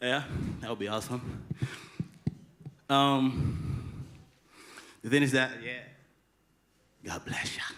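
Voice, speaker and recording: The speech moves at a very slow pace with long, frequent pauses and ordinary pitch variation. The tone is bright and sharp, with audible room echo. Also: man, medium pitch for a man. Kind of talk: stage talk introducing a song. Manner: halting, many fillers.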